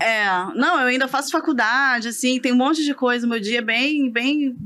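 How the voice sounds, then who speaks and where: The woman's high pitch carries a bright, sharp tone. She talks at a moderate pace with ordinary pitch variation. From Rio de Janeiro, Brazil. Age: 30s. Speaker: real estate broker and business owner. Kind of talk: podcast interview. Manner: calm.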